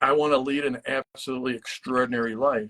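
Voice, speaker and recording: An unremarkable speaking voice at a moderate pace, fairly even intonation, dry, close sound with no echo. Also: man. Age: 60s. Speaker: marketing entrepreneur. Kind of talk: casual chat.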